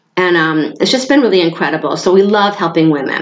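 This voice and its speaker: A woman talks very fast with an American accent. Her pitch sits fairly low. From New York State. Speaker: hormone therapy business owner. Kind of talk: informal presentation to a group.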